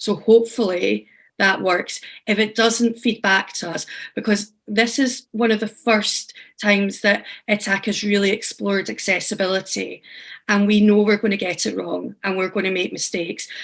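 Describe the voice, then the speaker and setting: Against a quiet background, a woman speaks at a moderate pace with medium pitch. Her intonation is monotone and flat. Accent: strong Scottish. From Scotland. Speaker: teaching artist and workshop facilitator. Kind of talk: online workshop facilitation. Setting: video call. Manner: casual, friendly.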